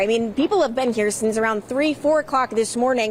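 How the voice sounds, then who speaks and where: A woman with an American accent talks very fast in a high voice, her pitch varying in an ordinary way over noticeable background noise. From Long Island, New York. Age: 20s. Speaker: TV news reporter. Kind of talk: TV news field report.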